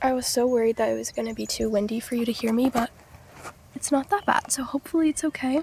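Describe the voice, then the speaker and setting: A soft-spoken woman's high-pitched voice at a very fast pace, with ordinary pitch variation, a dry, close sound with no echo, and noticeable background noise. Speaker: vlogger. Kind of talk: casual monologue to camera. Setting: outdoors by the ocean. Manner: soft-spoken, low volume.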